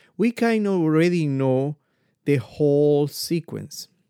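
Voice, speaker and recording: A man's fairly high, dark, mellow voice in a Spanish accent, with very wide pitch swings and a dry, close sound with no echo. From Ecuador. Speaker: podcast host, motivational speaker. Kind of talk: motivational monologue.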